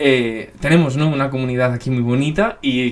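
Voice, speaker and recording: Over noticeable background noise, a man with a Spanish accent speaks with ordinary pitch variation. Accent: Peninsular Spanish. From Spain. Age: 20s. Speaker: YouTuber, NBA commentator. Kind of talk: casual Q&A chat to camera. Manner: casual, lots of fillers.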